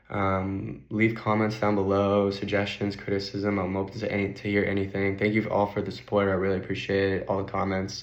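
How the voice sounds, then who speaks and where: A man's fairly low, monotone voice with flat intonation at a moderate pace, with audible room echo. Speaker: finance YouTuber. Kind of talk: casual vlog.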